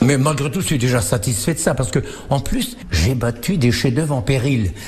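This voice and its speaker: A man speaks with lively intonation at a moderate pace. The recording carries audible room echo and noticeable background noise. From northern France, Picardy. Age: 80s+. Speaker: veteran table tennis player. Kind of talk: interview. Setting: at home, former farm.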